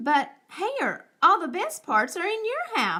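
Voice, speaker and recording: Using a put-on character voice, a woman projects loudly at an extremely high pitch, swinging her pitch very widely while keeping to a fairly slow pace. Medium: read story. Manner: slow, grumbling.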